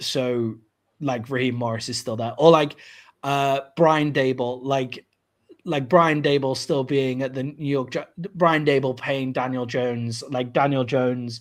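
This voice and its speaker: Against a silent background in a very clean recording, a man with a British accent speaks slowly-ish, at a fairly slow pace, in a medium pitch with fairly even intonation. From Britain. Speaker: sports podcast host. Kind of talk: casual chat.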